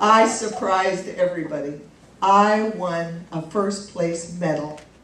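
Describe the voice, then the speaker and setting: A woman at a medium pitch and fairly slow pace, ordinary pitch variation, with audible room echo and noticeable background noise. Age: 60s. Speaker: comedian. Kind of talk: stand-up.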